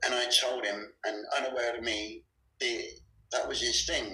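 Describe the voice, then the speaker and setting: A man with a Bristol accent at a moderate pace. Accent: Bristol West Country. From West Country England, Bristol. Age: 50s. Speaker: abuse survivor. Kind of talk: testimony. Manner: halting, many fillers.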